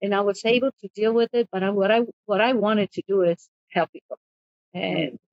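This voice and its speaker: A woman with a Spanish accent talks at a fairly quick pace, at medium pitch with ordinary pitch variation. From Mexico, raised in Compton, California from 11. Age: 70s. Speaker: immigration paralegal. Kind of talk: interview. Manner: halting, with many repetitions.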